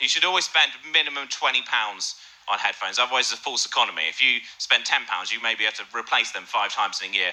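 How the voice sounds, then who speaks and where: Someone speaks very fast with an English accent over noticeable background noise. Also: man. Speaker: comedian. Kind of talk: stand-up storytelling.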